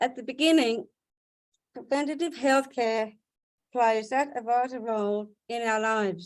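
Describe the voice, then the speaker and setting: Speaking at a fairly slow pace with long, frequent pauses, a woman with an Australian accent shows ordinary pitch variation. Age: 40s. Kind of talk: prepared speech. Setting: video webinar.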